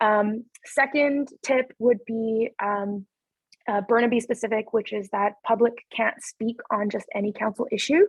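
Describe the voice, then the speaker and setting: A somewhat breathy, fairly high-pitched woman's voice at a fairly slow pace with fairly even intonation. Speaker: city councillor. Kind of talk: webinar presentation. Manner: many filler words (um).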